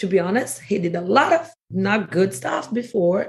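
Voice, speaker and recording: At a fairly slow pace, a woman speaks with a strong Brazilian accent and ordinary pitch variation. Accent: Brazilian Portuguese accent in English, heavy. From Brazil, Rio area. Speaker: podcast guest. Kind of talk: casual chat. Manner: halting, filler-heavy.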